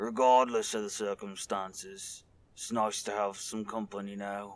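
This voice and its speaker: Using a put-on character voice, a man speaks raspy and fairly low in pitch at a moderate pace with monotone, flat intonation. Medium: read story.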